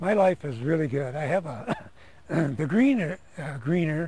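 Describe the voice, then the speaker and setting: Somewhat breathy speech at a fairly slow pace, with lively intonation. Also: man. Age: 60s. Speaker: retired police lieutenant. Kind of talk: testimony.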